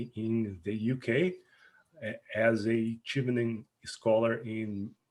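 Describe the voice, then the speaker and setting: A man speaking at a very slow pace. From Brazil. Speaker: research scientist, postgraduate student. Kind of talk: self-introduction in online course. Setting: video call. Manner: halting, blocks and repetitions.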